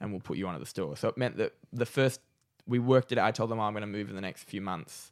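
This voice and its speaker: A man with an Australian accent talks at a very fast pace and a fairly low pitch. His pitch variation is ordinary, on a very clean recording with a silent background. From Australia, Newcastle NSW. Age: 20s. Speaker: comedian. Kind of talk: casual chat.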